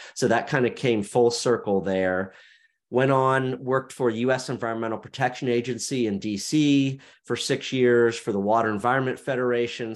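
A man talks at a moderate pace in a normal speaking voice, pitched in the middle of his range. His intonation stays fairly even, and the background is quiet. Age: 40s. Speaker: media founder and podcast host. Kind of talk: interview conversation.

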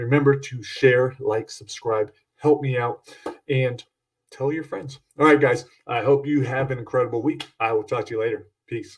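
A man talks with a medium pitch and a somewhat breathy quality. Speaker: podcast host and horror author. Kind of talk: casual solo podcast monologue. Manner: upbeat, fast, rushed.

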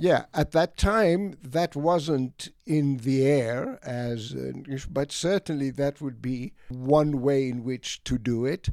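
A man with a fairly high pitch talks at a very slow pace with hardly any pauses and ordinary pitch variation, in a dry, close sound with no echo. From Egypt (Alexandria), Greek parents, schooled in Greece. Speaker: retired economics professor. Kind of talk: casual interview conversation. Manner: halting, with fillers and repeated words.

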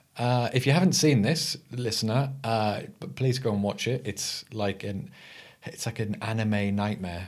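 A man speaks at a fairly slow pace in a medium pitch with ordinary pitch variation, on a very clean recording with a silent background. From England. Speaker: podcast co-host. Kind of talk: casual chat.

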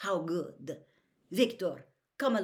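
The clip is a natural reading voice over a quiet background.

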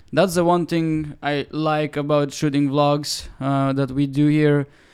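A man with an ordinary speaking voice talks fairly slowly at a fairly high pitch, with fairly even intonation. The recording is very clean, with a silent background. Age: 20s. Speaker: photographer and videographer. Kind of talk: casual chat. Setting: on location in Tokyo.

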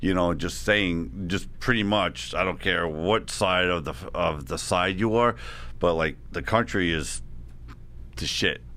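A man with a Long Island accent speaks at a fairly slow pace in a very deep, low pitch with vocal fry. His tone is bright and sharp, his intonation lively, with audible room echo. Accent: Long Island New York. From Long Island, New York. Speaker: author. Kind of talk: casual interview chat.

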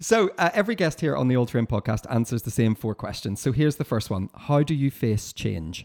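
With hardly any pauses and a fairly quick pace, a man speaks at a medium pitch that makes very wide swings, on a very clean recording with a silent background. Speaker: podcast host. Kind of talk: interview conversation.

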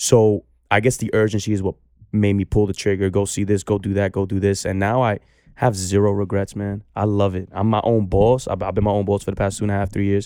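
In a New York accent, a man delivers flat, monotone speech at a fairly quick pace, his fairly low voice dark and mellow. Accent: New York (Bronx). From New York City, the Bronx. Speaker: barber. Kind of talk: casual chat.

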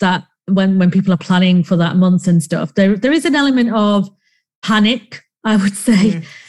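This woman's voice is somewhat breathy and sits at a medium pitch. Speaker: podcast co-host. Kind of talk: casual chat. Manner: rambling, uses many fillers.

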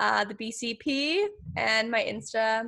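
The speaker is a woman. Little noise can be heard behind her. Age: 20s. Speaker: law student and podcaster; public speaking workshop teacher. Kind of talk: casual interview chat. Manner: animated, laughs often.

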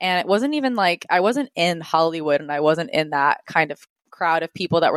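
Lively intonation marks a woman's plain, everyday voice with an American accent. She keeps a fairly quick pace. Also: dry, close sound with no echo. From US Northeast, Rhode Island. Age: 20s. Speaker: YouTuber and entrepreneur. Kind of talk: casual interview chat.

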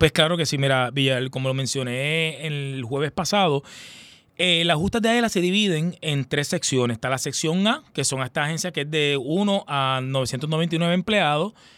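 Over a very clean recording with a silent background, a man speaks at a fairly slow pace. His pitch is fairly high, with ordinary pitch variation. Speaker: sports supervisor. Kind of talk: radio interview. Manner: animated, repetitive fillers.

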